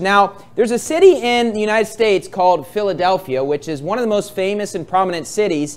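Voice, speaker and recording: This man talks at a fairly quick pace. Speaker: preacher. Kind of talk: sermon. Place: church.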